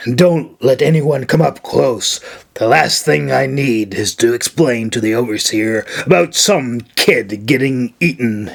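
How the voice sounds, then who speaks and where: A raspy, put-on character voice at a fairly slow pace. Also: man, medium pitch for a man. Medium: read story. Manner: gruff, curt, growling.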